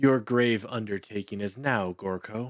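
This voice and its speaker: In a booming, put-on character voice, a man speaks at a moderate pace with medium pitch on a very clean recording with a silent background. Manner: loud, screaming.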